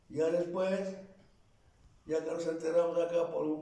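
A man speaks at a fairly slow pace in a high voice. The background is quiet, though some room echo can be heard. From Tlaxcala, Mexico. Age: 80s+. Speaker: elderly local narrator. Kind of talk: oral history interview answer. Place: home room. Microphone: camera far.

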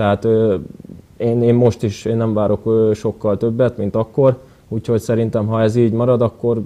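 A man's dark, mellow tone, with monotone, flat intonation at a moderate pace. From Hungary. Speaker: footballer; guest. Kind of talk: TV interview. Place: studio. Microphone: lapel.

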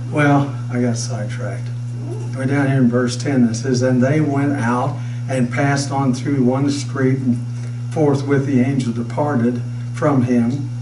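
A man's fairly slow, monotone delivery with flat intonation and noticeable background noise. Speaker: pastor. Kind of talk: sermon. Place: church.

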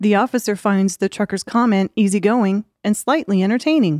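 A woman talks at a moderate pace with ordinary pitch variation. The sound is dry and close with no echo, her tone slightly mellow. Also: medium pitch for a woman.

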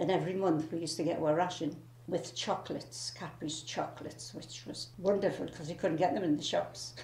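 The voice has a dark, mellow tone with vocal fry. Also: woman. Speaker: former factory sweet packer. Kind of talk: oral history interview answer.

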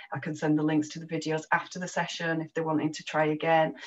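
A woman's very deep, low-pitched voice with a Yorkshire accent. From northern England (Yorkshire); northern England. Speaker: ESOL teacher. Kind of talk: presentation at an online teacher meetup. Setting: video call. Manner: self-deprecating, laughs often. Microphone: video call.

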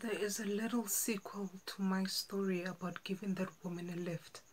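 With light background noise behind her, a woman speaks in a monotone, flat intonation. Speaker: actor. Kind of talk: dramatic monologue audition. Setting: home self-recording. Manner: slow, emotional. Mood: earnest, emotional storytelling. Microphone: phone near.

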